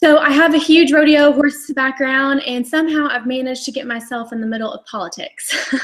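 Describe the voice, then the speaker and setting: Her pitch high, a woman talks with hardly any pauses and fairly even intonation. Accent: Texas. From Texas. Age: 20s. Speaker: cutting horse champion rider. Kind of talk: interview on live online show.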